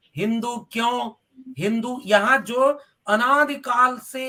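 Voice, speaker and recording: A man speaks with a Bihari accent in a raised, projected voice. His tone is bright and sharp. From Bhojpuri-speaking region of north India. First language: Bhojpuri (speaking Hindi). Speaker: professor. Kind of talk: political interview.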